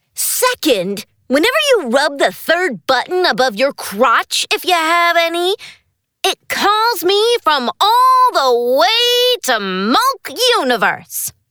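This cartoonish character voice has an extremely high pitch and very wide pitch swings. It moves at a fairly slow pace. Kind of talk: comic overacting. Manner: bossy, sarcastic, impatient.

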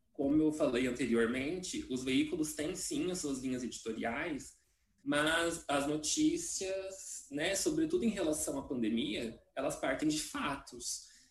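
Fairly slow speech with audible room echo. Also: man. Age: 30s. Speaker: journalist and academic. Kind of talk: casual chat.

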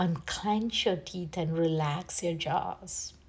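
Very slowly, a woman speaks at a medium pitch in a warm, soothing tone that is somewhat breathy. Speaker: meditation guide. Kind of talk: guided meditation. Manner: soft, slow and soothing, gently instructing; warm and encouraging, with pauses between cues.

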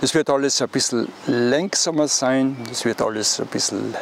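A man's medium-pitched voice, very slow pace and ordinary pitch variation, over noticeable background noise. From East Tyrol, Austria. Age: 80s+. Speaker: hiking guidebook author. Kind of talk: interview. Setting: outdoors by a pond.

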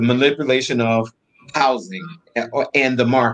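Using a plain, everyday voice, a man talks at a moderate pace and a medium pitch. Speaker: co-host. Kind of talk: talk show discussion.

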